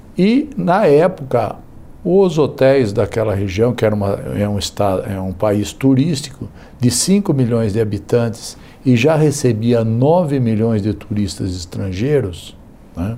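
A man's medium-pitched voice with a dark, mellow tone, lively intonation and a fairly slow pace. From Brazil, São Paulo state. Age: 60s. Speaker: politician. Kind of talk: interview. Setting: studio.

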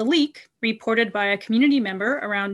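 This is an ordinary speaking voice. The intonation is lively. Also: woman, quiet background. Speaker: news segment reporter. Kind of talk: radio news segment, scripted reporting with a personal aside. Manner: measured, conversational, lightly wry.

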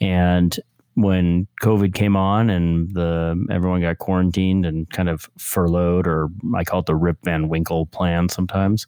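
In a very clean recording with a silent background and a dry, close sound with no echo, a man with an American accent speaks at a moderate pace, his very deep, low voice dark and mellow in tone and monotone, flat in intonation. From New York (Westchester). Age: 50s. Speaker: nonprofit founder. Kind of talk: casual chat.

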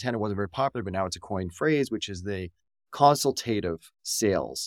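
A plain, everyday voice with a Canadian accent, ordinary pitch variation and a fairly quick pace, in a very clean recording with a silent background and a dry, close sound with no echo. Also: man. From Canada. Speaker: podcast host and entrepreneur. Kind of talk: casual interview chat.

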